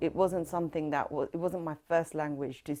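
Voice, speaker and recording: A woman's very deep, low voice, dark and mellow in tone, with fairly even intonation on a very clean recording with a silent background. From northwest London, England. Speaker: folk singer, oral history interviewee. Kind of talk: oral history interview.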